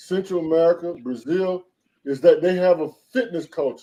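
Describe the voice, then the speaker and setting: This man has a high pitch and a dark, mellow tone. He talks at a moderate pace. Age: 60s. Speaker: professor. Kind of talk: casual chat.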